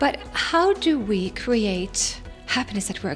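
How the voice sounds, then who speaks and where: Faint music plays in the background as a woman speaks at a medium pitch. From Sweden. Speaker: workplace happiness consultant and speaker. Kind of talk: event promo talk to camera. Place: studio. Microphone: handheld.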